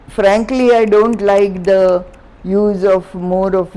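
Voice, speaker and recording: A woman speaks very slowly, with noticeable noise audible behind her. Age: 80s+. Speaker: artist. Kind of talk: interview answer. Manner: energetic, enthusiastic.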